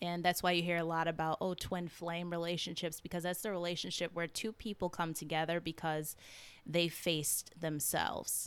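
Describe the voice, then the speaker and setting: Over a silent background in a very clean recording, a woman with an American accent speaks at a moderate pace in a monotone, flat intonation. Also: fairly low pitch for a woman. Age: 20s. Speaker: podcast host and holistic health coach. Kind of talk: personal storytelling monologue.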